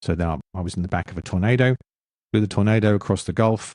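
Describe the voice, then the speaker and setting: Very clean and silent in the background, this dry, close recording with no echo has a man with an English accent speaking very fast in a dark, mellow tone, his fairly low pitch showing ordinary variation. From London, England. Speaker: former military pilot and author. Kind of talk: interview.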